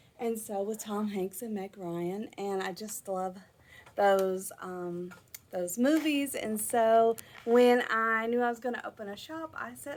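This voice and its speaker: A fairly slow American accent over noticeable background noise. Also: woman, fairly high pitch for a woman, lively intonation. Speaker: yarn shop owner. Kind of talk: casual video talk. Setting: in her shop. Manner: casual, with many fillers.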